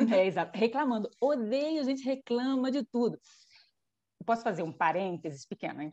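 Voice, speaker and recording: A woman speaks at a moderate pace with a fairly high pitch and very wide pitch swings. Her tone is dark and mellow, and the sound is dry and close with no echo. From Brazil, Rio de Janeiro. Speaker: engineer, immigrant in Spain. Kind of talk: casual chat.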